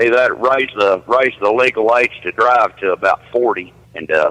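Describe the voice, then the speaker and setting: A man with a Southern US accent is heard in a dry, close recording with no echo. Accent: noticeable Southern. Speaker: truck driver. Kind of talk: casual chat.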